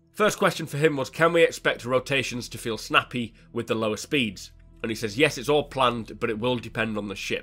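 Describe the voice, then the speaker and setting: Music plays in the background. A man talks over it at a fairly quick pace. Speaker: gaming news host. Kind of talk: weekly gaming news show narration. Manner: casual, conversational.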